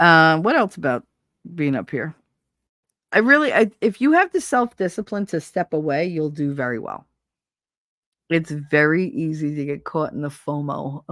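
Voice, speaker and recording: On a very clean recording with a silent background and a dry, close sound with no echo, a woman with a New Jersey accent speaks at a moderate pace in a very deep, low voice, using lively intonation and long, frequent pauses. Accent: New Jersey, dropped R's. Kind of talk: casual, conversational.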